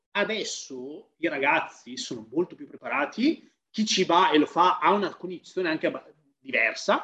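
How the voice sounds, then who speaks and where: A man's high-pitched voice with a bright, sharp tone. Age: 30s. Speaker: fitness professional. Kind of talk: casual chat.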